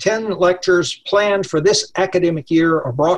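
Speaking at a moderate pace with an American accent, a man uses a high pitch against a quiet background. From Texas. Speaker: law professor, event host. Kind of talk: formal introduction. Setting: video call. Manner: formal. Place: home room. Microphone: webcam.

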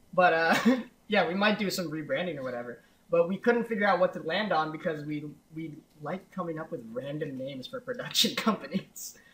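Heard over noticeable background noise, a man speaks in a high-pitched voice with big swings in loudness. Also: lively intonation, fairly quick pace. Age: 20s. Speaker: podcast co-host and editor. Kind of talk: casual chat.

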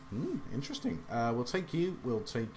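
A man with an English accent speaks in a medium pitch with lively intonation. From England. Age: 30s. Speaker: gaming youtuber. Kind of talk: let's play commentary. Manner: hesitant with many fillers.

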